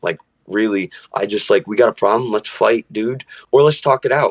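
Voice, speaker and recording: A man's plain, everyday voice at medium pitch, fairly quick, with a dry, close sound and no echo. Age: 20s. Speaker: musician. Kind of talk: casual chat.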